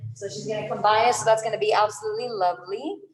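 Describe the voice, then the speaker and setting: A woman with a fairly high voice talks amid noticeable background noise, her words carrying an audible room echo. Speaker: yoga instructor. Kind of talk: casual announcements; guided yoga class instruction. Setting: livestreamed online class. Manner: loud.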